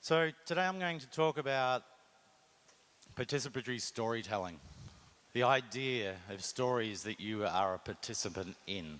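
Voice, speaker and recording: With an Australian accent, a man at a medium pitch makes very wide pitch swings and leaves long, frequent pauses. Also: moderate pace. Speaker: marketing executive. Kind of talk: conference talk.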